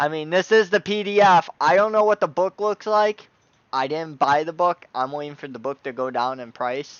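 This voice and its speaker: A man with an unremarkable speaking voice talks at a moderate pace in a fairly high pitch. His loudness swings a lot. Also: lively intonation. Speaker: tabletop gaming YouTuber. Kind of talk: product review. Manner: casual, filler-heavy.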